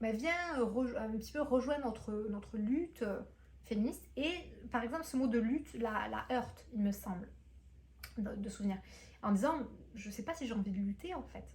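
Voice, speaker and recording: With audible room echo, a woman talks at a moderate pace in a fairly high voice touched by vocal fry. Her speech is broken by long, frequent pauses. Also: lively intonation. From France. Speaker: booktuber and entrepreneur. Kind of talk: vlog monologue. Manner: hesitant, many fillers.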